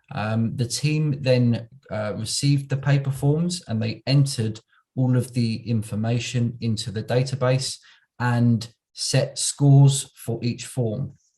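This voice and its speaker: This voice is somewhat breathy at a fairly slow pace. The intonation stays fairly even. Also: man, medium pitch for a man. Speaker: local government automation manager. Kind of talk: conference presentation. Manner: slow, deliberate; hesitant, many fillers.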